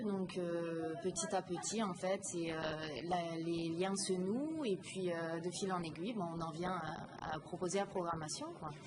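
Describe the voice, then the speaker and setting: A woman's medium-pitched voice with ordinary pitch variation, over noticeable background noise. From Lorraine, France. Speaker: comedian and theatre programmer. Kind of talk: interview. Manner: hesitant, many fillers.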